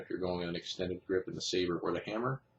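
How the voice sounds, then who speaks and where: Somewhat breathy, a man speaks with a very deep, low pitch. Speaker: knife reviewer. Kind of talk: product review. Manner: fast.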